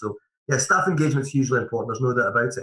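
This is a man talking. He has a Scottish accent. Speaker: managing director of a mortgage advice firm. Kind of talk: podcast interview. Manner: halting, repeats words.

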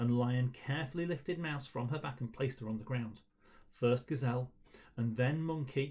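Ordinary pitch variation in plain reading aloud

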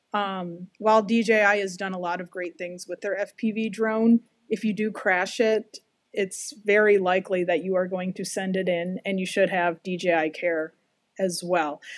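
A normal speaking voice moves at a fairly slow pace with fairly even intonation. The sound is dry with no echo, over a quiet background. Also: woman, medium pitch for a woman. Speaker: podcast co-host. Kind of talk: casual interview. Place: home room. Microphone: video call.

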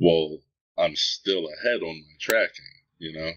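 A man is speaking. His pace is fairly slow. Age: 30s. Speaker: online game industrialist. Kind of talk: casual interview.

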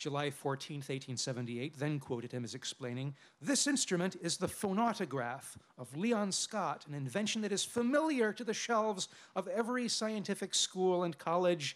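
A man speaks at a moderate pace in a high voice. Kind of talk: lecture. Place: tent. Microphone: podium.

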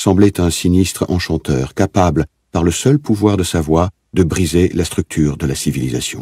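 Here a man speaks in a very deep, low pitch with a dark, mellow tone and vocal fry. His intonation is lively, and the sound is dry and close with no echo. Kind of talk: literary audiobook reading, scripted narration of a novel.

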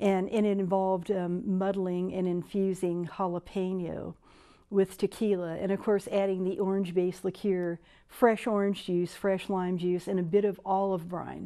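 A woman speaks in a flat monotone at a moderate pace. The background is quiet. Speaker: cocktail show host. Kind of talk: tutorial. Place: studio. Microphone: lapel.

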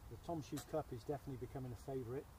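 A man talks at a very fast pace and medium pitch, with ordinary pitch variation. There is audible room echo.

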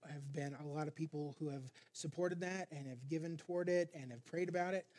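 This man's pitch is fairly high, and his tone is dark and mellow. His intonation stays fairly even. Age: 50s. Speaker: pastor. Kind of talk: sermon. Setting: church. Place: church. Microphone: headset.

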